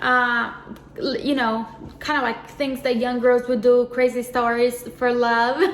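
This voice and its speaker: Over noticeable background noise, a woman with a Portuguese accent speaks fairly slowly at a high pitch, her intonation monotone and flat, with long, frequent pauses. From Brazil. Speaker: co-host, YouTuber's wife. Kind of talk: casual testimony.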